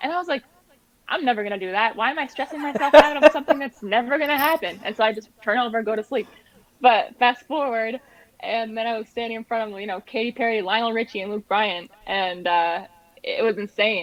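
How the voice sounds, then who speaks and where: A woman with a plain, everyday voice, fairly quick, lively in intonation, with big swings in loudness. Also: fairly high pitch for a woman. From New Hampshire, USA. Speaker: singer-songwriter. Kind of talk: interview answer.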